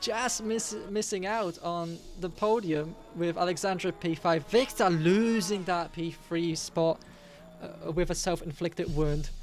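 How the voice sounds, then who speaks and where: The speech moves at a fairly slow pace with music playing in the background. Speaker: sim racing commentator. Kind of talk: live commentary. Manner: animated, shouting at times.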